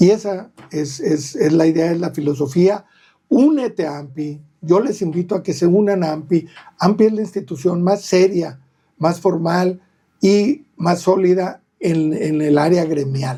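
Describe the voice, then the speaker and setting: A man's high-pitched voice with a dark, mellow tone at a fairly slow pace. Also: ordinary pitch variation. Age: 60s. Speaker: real estate agent. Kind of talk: podcast interview.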